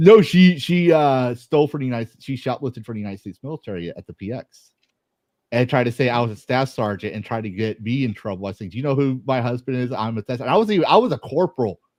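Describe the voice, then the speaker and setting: A man with an American accent at a medium pitch, very fast and animated, with lively intonation and a dry, close sound with no echo. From Texas. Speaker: army veteran, podcast guest. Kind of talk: casual chat.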